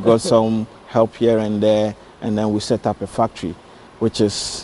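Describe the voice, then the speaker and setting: Light background noise accompanies a man's fairly low voice. He speaks at a fairly slow pace. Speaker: factory founder. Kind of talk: interview answer. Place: factory.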